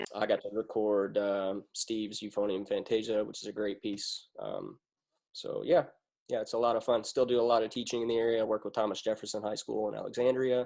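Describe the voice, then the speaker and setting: With a Kentucky accent, a man talks at a fairly quick pace against a quiet background. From Western Kentucky, US. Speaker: military band euphonium player and teacher. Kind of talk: casual chat.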